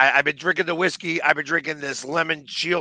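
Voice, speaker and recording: A man talks at a fairly quick pace in a dry, close sound with no echo, with noticeable background noise behind him. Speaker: sports fan show co-host. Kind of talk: casual chat. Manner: halting, repeats words.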